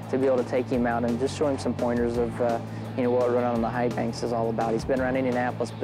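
A man speaks at a very fast pace, with clear music in the background. The sound is dry with no echo. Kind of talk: interview answer. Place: stadium. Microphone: lapel.

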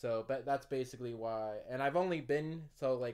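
In an American accent, a man talks at a moderate pace and medium pitch with ordinary pitch variation over a quiet background. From United States. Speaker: YouTuber telling personal stories. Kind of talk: casual vlog monologue. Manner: rambling with frequent laughs. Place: home room.

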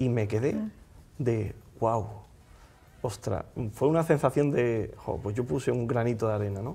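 With long, frequent pauses, a man speaks in a somewhat breathy voice with a dark, mellow tone. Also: ordinary pitch variation, fairly slow pace. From Andalusia, Spain. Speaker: magician. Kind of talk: casual interview chat. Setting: studio. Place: studio. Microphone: lapel.

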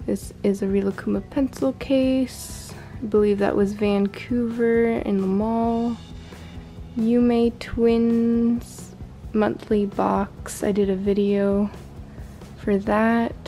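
Over faint music in the background, the voice moves at a very slow pace with monotone, flat intonation and very even loudness. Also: woman. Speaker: room tour vlogger. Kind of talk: casual show-and-tell tour. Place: home room.

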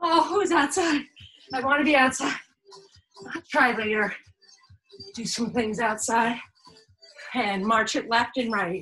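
Faint music plays in the background as a woman speaks at a high pitch. Her pace is fairly slow, with long, frequent pauses. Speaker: fitness instructor. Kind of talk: workout instruction. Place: home room. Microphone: camera far.

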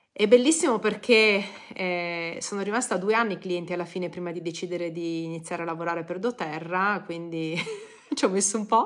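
The background stays quiet. A woman's speech moves at a fairly quick pace. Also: ordinary pitch variation. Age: 40s. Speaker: blogger and essential oils seller; essential oils seller. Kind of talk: live stream talk. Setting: social media live video. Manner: casual, hesitant with fillers. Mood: warm, personal, smiling. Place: home room. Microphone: phone near.

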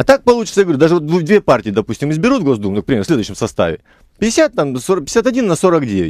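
The speech comes at a very fast pace with very wide pitch swings. The sound is dry with no echo, and the background is quiet. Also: man. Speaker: member of parliament; politician guest. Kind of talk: radio talk show interview. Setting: radio studio. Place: studio.

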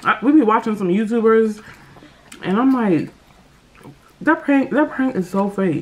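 A fairly high-pitched woman's voice with lively intonation, a fairly slow pace, and long, frequent pauses. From United States. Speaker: mukbang YouTuber. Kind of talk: casual vlog chat while eating. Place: home room. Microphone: phone near.

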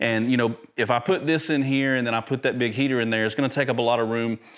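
A man talks fast with fairly even intonation. The recording is very clean, with a silent background. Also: medium pitch for a man.

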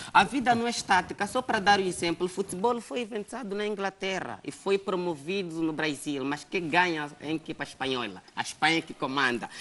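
Hardly any pauses break up this fairly quick delivery. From Angola. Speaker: talk show host. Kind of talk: interview. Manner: animated. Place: studio.

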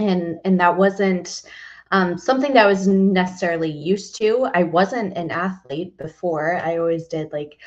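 A woman speaks at a moderate pace with a fairly low pitch. Her pitch varies in an ordinary way, and the background is quiet. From Texas. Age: 30s. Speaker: fitness coach. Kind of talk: interview. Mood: warm, animated storytelling. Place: home room. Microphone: headset.

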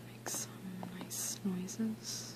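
The speaker is soft-spoken against loud background noise. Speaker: ASMR creator. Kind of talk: ASMR soft-spoken sewing kit sounds video. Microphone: phone near.

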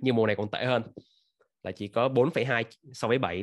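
A man's voice with ordinary pitch variation against a quiet background. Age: 30s. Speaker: football fan channel host. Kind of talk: casual reaction commentary; casual commentary, news reaction. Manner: halting with many fillers. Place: home room. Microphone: webcam.

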